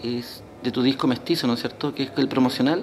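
Light background noise sits behind a man's voice. He speaks at a moderate pace with fairly even intonation. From Punta Arenas, Chile. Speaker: interviewer. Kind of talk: interview. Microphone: phone near.

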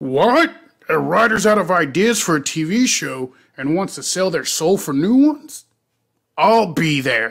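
A put-on character voice at a middle pitch. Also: moderate pace. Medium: comedy sketch. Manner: smug, eager.

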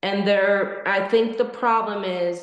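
A woman speaks at a very slow pace with fairly even intonation, and room echo is audible. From Mexico City, Mexico. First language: Spanish. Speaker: dog breeder. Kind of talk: webinar roundtable discussion.

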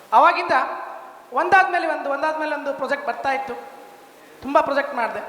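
A man's raised, projected voice at an extremely high pitch, with fairly even intonation, audible room echo and noticeable background noise. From India, Bijapur, northern Karnataka. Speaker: construction business owner, civil engineer. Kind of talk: testimonial speech.

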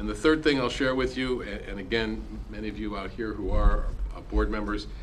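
A man speaking at a very fast pace over light background noise. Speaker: freedom of information educator. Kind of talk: presentation to council. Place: meeting room. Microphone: podium.

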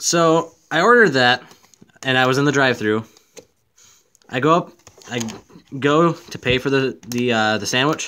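A man with a bright, sharp tone speaks at a moderate pace, leaving long, frequent pauses, his pitch varying in an ordinary way. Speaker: gaming YouTuber opening card packs. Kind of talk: casual video rant about a bad drive-through order, amid a card pack opening. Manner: irritated, complaining, rambling; filler-heavy, self-correcting. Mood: annoyed storytelling rant. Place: home room. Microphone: phone near.

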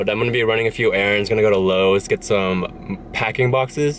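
Speaking at a fairly quick pace, a man with a fairly low pitch uses ordinary pitch variation.

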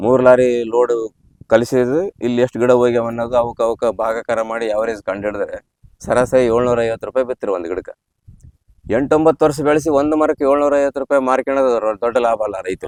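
The recording has a dry, close sound with no echo as a man talks at medium pitch with ordinary pitch variation. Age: 60s. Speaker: farmer. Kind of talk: interview.

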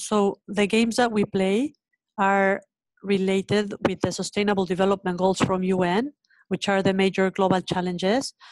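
With a Spanish accent, a woman speaks at a moderate pace in a flat monotone with very even loudness, the sound dry with no echo against a quiet background. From Mexico. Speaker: education nonprofit founder. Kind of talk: webinar panel conversation. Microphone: video call.

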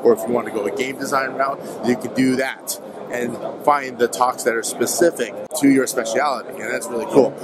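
Against clear background noise, a man speaks at a moderate pace with a medium pitch.

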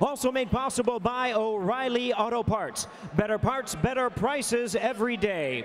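Over noticeable background noise, a man with an American accent speaks at a moderate pace with an extremely high pitch, ordinary pitch variation, and very even loudness. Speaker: ring announcer. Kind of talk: formal ring announcements. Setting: arena PA system. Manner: formal.

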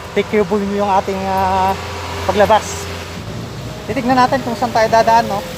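This man talks at a fairly slow pace over noticeable background noise. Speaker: vlogger. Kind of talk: casual vlog narration. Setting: outdoors. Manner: laughs often.

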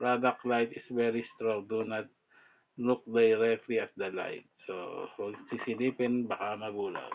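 A man talks at a fairly slow pace. His medium-pitched voice stays monotone and flat. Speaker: product reviewer. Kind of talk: casual product review. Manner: halting.

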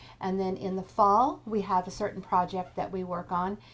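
Using a plain, everyday voice, a woman speaks at a moderate pace and medium pitch. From Kansas. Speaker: quilting teacher. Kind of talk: tutorial. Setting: live webinar.

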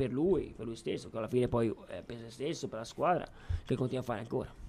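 The man's voice has a dark, mellow tone. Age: 20s. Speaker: youth football coach. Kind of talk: radio interview. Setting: studio. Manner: laughs often. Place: studio.

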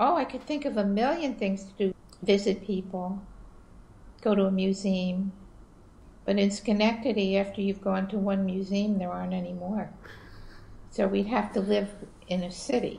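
With a dark, mellow tone and a somewhat breathy quality, a woman speaks at a moderate pace with fairly even intonation and long, frequent pauses. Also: medium pitch for a woman. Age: 70s. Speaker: interviewee mother of the filmmaker; interviewee. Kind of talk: casual chat. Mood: warm, wry. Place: home room. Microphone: video call.

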